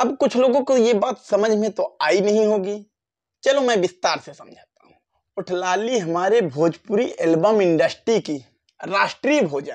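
A man at a fairly slow pace, with lively intonation and big swings in loudness, over a quiet background. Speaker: YouTube commentator. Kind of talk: casual vlog commentary. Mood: joking, mocking. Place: home room. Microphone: lapel.

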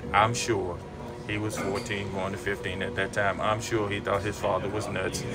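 Clear music sounds behind the voice. The speaker is a man. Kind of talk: casual vlog chat. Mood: warm, reflective, sometimes laughing. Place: office. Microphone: phone near.

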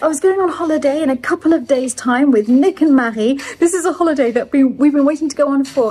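This woman's voice sits high in pitch. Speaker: chateau owner vlogger. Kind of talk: casual vlog chat. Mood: relaxed, then disappointed. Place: home room. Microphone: phone near.

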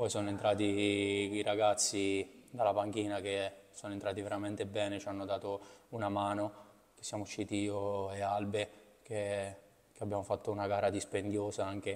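A man with a fairly low pitch speaks at a moderate pace. His delivery is monotone and flat. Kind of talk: interview answer. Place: hall. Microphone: podium.

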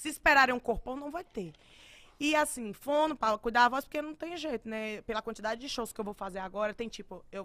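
A woman's high, bright, sharp voice, animated and fairly quick, with lively intonation, big swings in loudness and a quiet background. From Bahia, Brazil. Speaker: singer; podcast guest. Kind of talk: casual chat. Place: studio. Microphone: studio mic.

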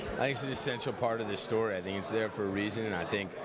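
Crowd noise fills the background as a man speaks, the sound dry with no echo. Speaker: actor interviewee. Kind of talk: interview answer. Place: hall. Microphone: handheld.

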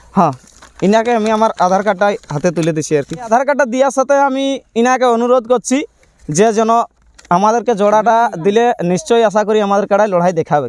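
High-pitched with ordinary pitch variation, a man speaks in a dry sound with no echo. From Jharkhand, near Purulia border; Jharkhand. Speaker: buffalo fight enthusiast. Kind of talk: on-site interview. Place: open country.

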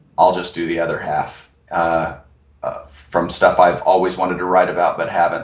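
A man at a moderate pace, with audible room echo against a quiet background. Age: 40s. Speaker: author and production company founder. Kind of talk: interview. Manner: halting. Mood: friendly, relaxed. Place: office. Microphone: video call.

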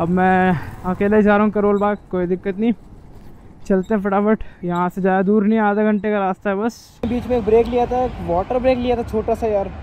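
At a fairly quick pace, a man with a high pitch and a slightly mellow tone speaks with little pitch movement.

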